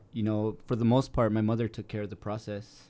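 With an American accent, a man talks at a fairly low pitch in a dark, mellow tone. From Salt Lake City, Utah. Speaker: artist and DACA recipient. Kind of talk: panel discussion on radio.

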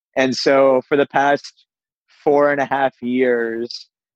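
A man speaks with an American accent in a monotone, flat intonation. The sound is dry and close with no echo. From US East Coast, Pittsburgh. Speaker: venture capital investor. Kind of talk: interview.

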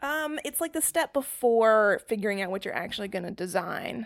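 Speaking in an unremarkable speaking voice with an American accent, a woman uses a medium pitch and lively intonation at a moderate pace. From North Carolina. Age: 30s. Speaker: brand designer. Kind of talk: casual chat.

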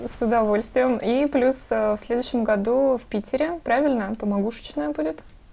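Speaking at a moderate pace with hardly any pauses, a woman uses a normal speaking voice with lively intonation. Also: fairly high pitch for a woman. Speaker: podcast host. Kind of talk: interview.

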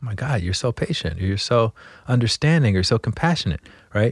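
A man with an American accent, a normal speaking voice, medium pitch, and lively intonation, recorded dry and close with no echo in a very clean, silent setting. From US South, Montgomery, Alabama. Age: 40s. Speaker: meditation teacher. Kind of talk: interview conversation.

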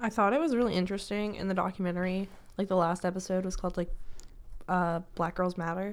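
At a very fast pace, a woman talks with a medium pitch and fairly even intonation. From rural Washington State. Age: young. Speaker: podcast co-host, college student. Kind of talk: casual chat.

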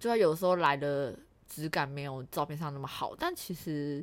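A normal speaking voice talks at a moderate pace with ordinary pitch variation. The recording is very clean, with a silent background. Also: woman. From Taiwan. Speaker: working holiday returnee. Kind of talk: casual chat.

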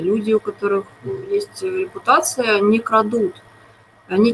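Moderate pace from a woman with a fairly high pitch, over noticeable background noise. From Moscow, Russia. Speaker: TV series screenwriter. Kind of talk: interview.

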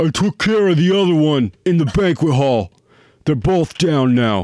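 The voice is a put-on character. It moves at a moderate pace. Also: man, fairly high pitch for a man.

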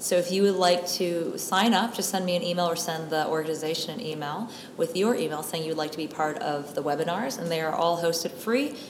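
A woman with a fairly low voice and an American accent talks at a fairly quick pace with hardly any pauses. Her pitch varies in an ordinary way, and background noise is noticeable. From United States. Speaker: drug prevention specialist and school counselor. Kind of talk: interview. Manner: articulate, fluent.

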